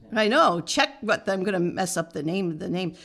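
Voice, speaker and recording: A woman talks in an American accent. Her tone is bright and sharp. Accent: American, nasal twang. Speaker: podcast co-host. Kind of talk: casual chat, reading a list aloud.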